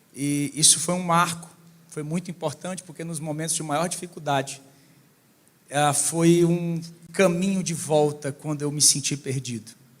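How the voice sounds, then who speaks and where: A man speaks at a moderate pace with a Ceará accent. His pitch is fairly high and his intonation fairly even. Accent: Ceará accent, noticeable. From Brazil, Ceará. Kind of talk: church talk. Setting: church with audience.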